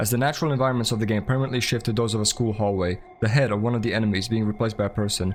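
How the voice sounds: This is a natural reading voice. Nothing else is listed for it.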